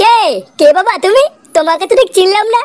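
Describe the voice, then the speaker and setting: A woman performs a cartoonish character voice at an extremely high pitch and a fairly quick pace. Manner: gruff, quick to anger.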